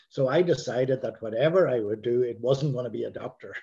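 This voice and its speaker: Somewhat breathy male voice with a dark, mellow tone and ordinary pitch variation. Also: quiet background. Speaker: interview guest, priest. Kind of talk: interview answer. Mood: calm, reflective. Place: home room. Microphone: video call.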